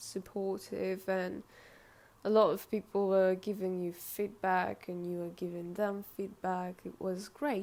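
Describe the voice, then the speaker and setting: Speaking at a very slow pace with a non-native accent, a woman uses a medium pitch and a dark, mellow tone. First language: not English. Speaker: artist and video creator. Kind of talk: casual vlog talk to camera. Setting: indoors, filming in front of a window. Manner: halting, many hesitations and self-corrections.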